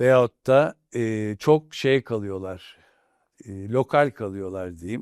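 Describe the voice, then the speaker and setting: On a very clean recording with a silent background, a man speaks at a very slow pace and fairly low pitch. The sound is dry and close with no echo, and his loudness swings widely. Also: ordinary pitch variation. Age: 60s. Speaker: industrialist, company chairman. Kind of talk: interview. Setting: studio.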